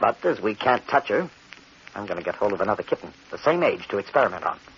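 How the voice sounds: A man's put-on character voice, fast and fairly bright, with a husky, rough edge and big pitch swings. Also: fairly low pitch for a man.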